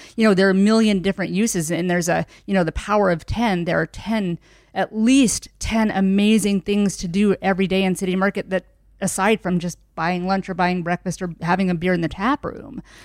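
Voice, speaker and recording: A woman with an American accent speaks in a plain, everyday voice at a medium pitch, with fairly even intonation, a fairly quick pace, and a dry, close sound with no echo. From rural southern Indiana. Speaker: city market director. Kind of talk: casual interview chat.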